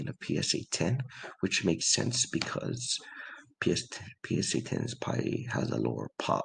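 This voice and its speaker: A quiet man talks at a fairly slow pace with vocal fry. His pitch swings very widely. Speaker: sports card collector. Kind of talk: casual talk to camera.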